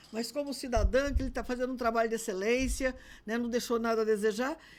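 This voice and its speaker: Talking at a fairly quick pace, a woman with an ordinary speaking voice uses a fairly high pitch. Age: 60s. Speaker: politician. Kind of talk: interview.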